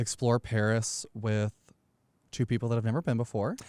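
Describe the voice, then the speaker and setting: Recorded very cleanly against a silent background with a dry, close sound and no echo, a man speaks in a dark, mellow tone with monotone, flat intonation. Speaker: podcast co-host. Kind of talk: casual chat.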